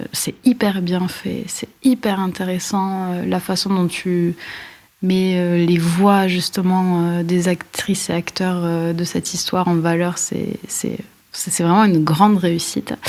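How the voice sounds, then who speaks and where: Speaking very slowly, a woman holds a medium pitch in a monotone, flat intonation. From France, Aveyron. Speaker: guest interviewer, writer. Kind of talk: interview.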